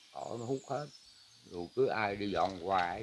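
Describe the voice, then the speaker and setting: A man's fairly low voice, very slow in pace, with lively intonation. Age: 80s+. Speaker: farmer. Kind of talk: casual chat.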